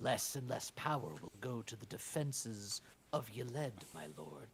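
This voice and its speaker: At a medium pitch, a man performs a put-on character voice. He holds a moderate pace. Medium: actual play. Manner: deferential.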